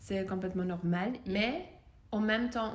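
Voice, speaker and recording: A woman speaks with a slight Austrian accent and a somewhat breathy voice. Some room echo can be heard. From Austria, Vienna. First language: German (speaking French). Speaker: voice coach. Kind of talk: interview. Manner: hesitant, many fillers.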